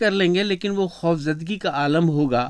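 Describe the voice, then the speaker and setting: Against a quiet background, a man talks at a fairly slow pace. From Rajshahi, former East Pakistan. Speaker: retired radio broadcaster. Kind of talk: radio interview. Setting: radio studio. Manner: cheerful.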